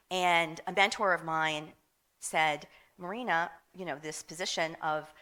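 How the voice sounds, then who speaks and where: A woman speaks with a Philadelphia accent and a fairly low pitch. Her tone is bright and sharp, with ordinary pitch variation. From Philadelphia, US. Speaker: hotel marketing executive. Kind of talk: panel discussion.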